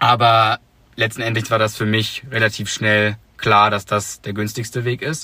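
At a fairly slow pace, a man speaks with medium pitch and a bright, sharp tone. His intonation is monotone and flat. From northern Germany, Hamburg. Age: 20s. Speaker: podcast host, exchange student. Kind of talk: casual chat. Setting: in a parked car.

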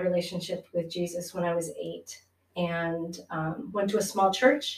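A woman speaks at a medium pitch in a somewhat breathy voice. Her pace is fairly slow and her intonation fairly even. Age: 50s. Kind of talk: casual chat.

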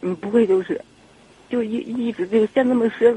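Clearly audible background noise runs under fairly fast speech. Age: 30s. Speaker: caller to advice radio show. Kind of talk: phone-in confession about relationship. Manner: halting, repetitive.

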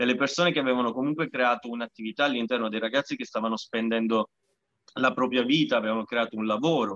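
A man at medium pitch talks at a very fast pace with fairly even intonation. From Sicily. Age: 30s. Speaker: parkour association president. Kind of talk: casual interview.

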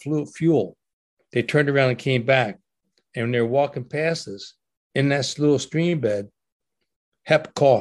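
Against a quiet background, a man of medium pitch speaks at a moderate pace with ordinary pitch variation. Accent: New Jersey. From US, Trenton, New Jersey. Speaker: war veteran and author. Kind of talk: interview storytelling.

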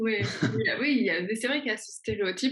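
Her pitch varies in an ordinary way as this woman talks fairly slowly in a somewhat breathy voice. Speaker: YouTuber. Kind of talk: interview.

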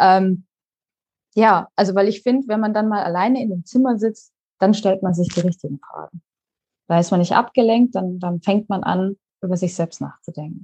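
A woman's medium-pitched, somewhat breathy voice with a dark, mellow tone, long, frequent pauses, and a dry, close sound with no echo. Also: ordinary pitch variation, moderate pace. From Baden-Württemberg, Pforzheim. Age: 30s. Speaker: digital nomad and online coach. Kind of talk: interview.

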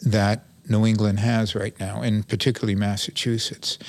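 This man speaks with a Brooklyn accent at a medium pitch. His pace is fairly slow. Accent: New York (Brooklyn). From New York City (Brooklyn). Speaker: town manager. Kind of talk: interview.

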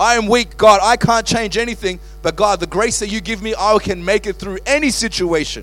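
Music plays in the background as a man speaks at a fairly quick pace. His tone is animated and passionate. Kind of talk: sermon. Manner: animated, rhetorical, building with repeated questions and emphatic repetition; passionate, preacherly, driving points home with punchy short phrases.

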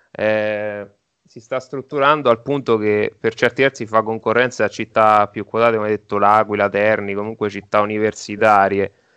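A man's bright, sharp voice with fairly even intonation sounds dry and close with no echo against a quiet background. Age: 30s. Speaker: podcast host. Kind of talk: casual interview.

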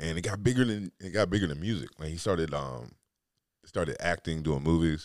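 With very deep, low pitch and vocal fry, a man talks at a fairly quick pace with lively intonation and long, frequent pauses. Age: 40s. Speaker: podcast host. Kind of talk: casual monologue. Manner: halting, many fillers.

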